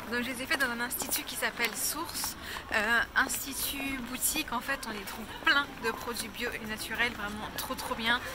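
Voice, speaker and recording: A woman's high-pitched voice at a fairly slow pace, with fairly even intonation, audible room echo and noticeable background noise. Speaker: lifestyle vlogger. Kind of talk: vlog. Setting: outdoors.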